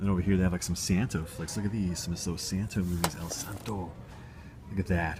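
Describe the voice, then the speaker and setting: Very deep, low pitch from a man, somewhat breathy, with fairly even intonation. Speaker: video blogger. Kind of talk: casual vlog walkthrough. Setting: library. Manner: whispering.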